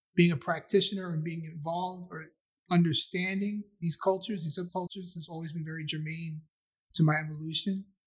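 A man talks at a fairly quick pace with a New York accent and a high pitch. His intonation is monotone and flat, while his loudness swings widely. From Queens, New York (Astoria). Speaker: filmmaker and writer. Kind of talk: casual interview chat.

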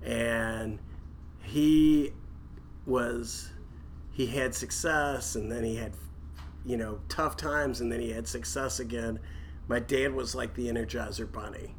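Over noticeable background noise and audible room echo, a man talks at a fairly slow pace with long, frequent pauses. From Kentucky. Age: 50s. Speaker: real estate developer. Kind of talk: casual interview.

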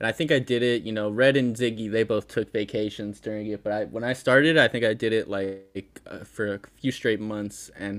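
On a very clean recording with a silent background, a man with an American accent and an unremarkable speaking voice talks at a fairly quick pace, fairly low in pitch with fairly even intonation. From Connecticut, US Northeast. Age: 20s. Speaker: podcast fan guest. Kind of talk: casual chat.

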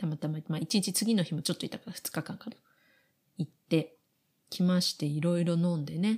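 A woman's somewhat breathy, fairly low voice at a fairly quick pace, with ordinary pitch variation. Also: very clean recording, silent background. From Japan. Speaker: podcast co-host. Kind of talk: casual chat.

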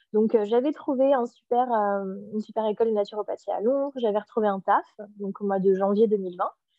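This woman has a plain, everyday voice, fairly high in pitch. She keeps a moderate pace with ordinary pitch variation. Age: 30s. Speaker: spiritual author. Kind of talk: casual interview.

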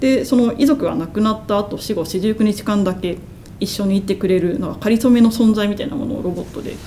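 A woman talks at a fairly quick pace with ordinary pitch variation. Noticeable background noise runs underneath. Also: medium pitch for a woman. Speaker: media artist. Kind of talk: casual chat. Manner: stuttering, halting.

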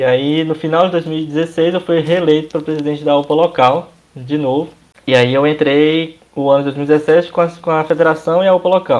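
With a normal speaking voice, a man talks at a moderate pace with fairly high pitch and fairly even intonation. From Brazil, Minas Gerais (Governador Valadares). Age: 20s. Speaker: church youth organization leader. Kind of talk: casual chat.

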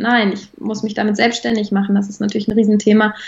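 Her voice is somewhat breathy as this woman speaks. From Germany, Bonn. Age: 20s. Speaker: equine therapist in training. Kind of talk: interview.

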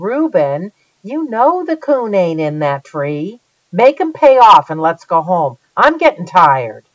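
A put-on character voice, female-sounding and whiny, at middle pitch with very wide pitch swings and a fairly slow pace. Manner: whining.

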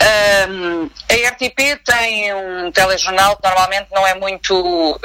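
A woman speaks very slowly against noticeable background noise. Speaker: TV news journalist. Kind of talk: interview. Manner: halting.

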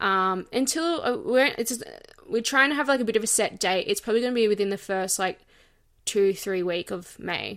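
Lively intonation marks this woman's fairly high-pitched voice as she talks at a fairly quick pace. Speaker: podcast host. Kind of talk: casual chat. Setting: remote recording from home. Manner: animated, chatty.

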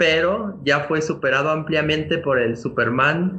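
A man's voice in a Mexican accent, with audible room echo. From Mexico. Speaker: comics fan commentator. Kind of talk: casual chat.

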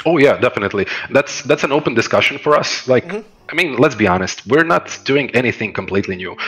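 Very fast speech from a man at medium pitch, with very wide pitch swings over noticeable background noise. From Croatia. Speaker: esports director. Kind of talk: casual interview.

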